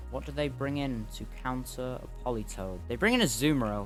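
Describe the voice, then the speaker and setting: A man talks fairly quickly. Background music runs beneath his speech. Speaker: gaming commentator. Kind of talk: gameplay commentary.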